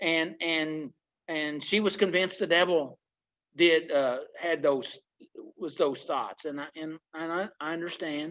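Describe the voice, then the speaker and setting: Someone speaks at a fairly slow pace against a quiet background. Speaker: recovery group leader. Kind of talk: teaching talk in recovery meeting. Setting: video call. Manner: halting, many repetitions and fillers.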